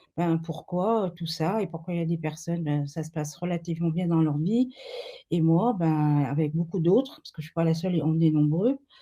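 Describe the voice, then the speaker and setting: Somewhat breathy, this voice has a dark, mellow tone and moves at a moderate pace with ordinary pitch variation. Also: woman, fairly low pitch for a woman. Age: 70s. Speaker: family constellation therapist. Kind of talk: webinar interview. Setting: webinar video call. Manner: hesitant, many fillers.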